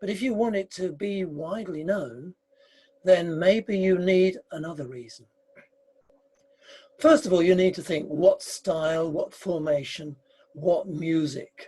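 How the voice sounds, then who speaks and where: In an English accent, a man with a high pitch speaks at a fairly slow pace with long, frequent pauses, big swings in loudness and ordinary pitch variation. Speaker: dance caller and composer. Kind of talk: interview.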